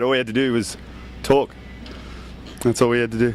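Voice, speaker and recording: A man with an Australian accent talks at a very fast pace and medium pitch. Noticeable background noise runs under his voice. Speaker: rock band member. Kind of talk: casual interview.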